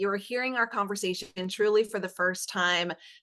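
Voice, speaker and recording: A woman with a Southern accent speaks at a moderate pace in a medium pitch, her bright, sharp tone showing ordinary pitch variation against a quiet background. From South Carolina. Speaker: podcast host. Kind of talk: podcast interview.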